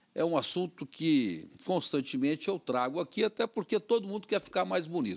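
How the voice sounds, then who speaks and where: This man's pitch swings very widely, and the background is quiet. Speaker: TV show host. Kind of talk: casual interview. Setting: TV studio. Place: studio. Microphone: studio mic.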